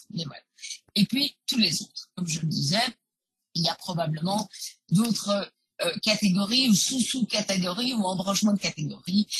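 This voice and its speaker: Moderate pace with long, frequent pauses and ordinary pitch variation. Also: woman. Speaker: genealogist and historian; webinar presenter. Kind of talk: webinar presentation. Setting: live online webinar. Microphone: video call.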